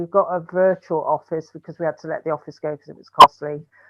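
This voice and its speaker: This woman has an ordinary speaking voice with fairly low pitch. She goes at a fairly quick pace with fairly even intonation. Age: 60s. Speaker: breast cancer survivor and charity founder. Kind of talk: panel discussion.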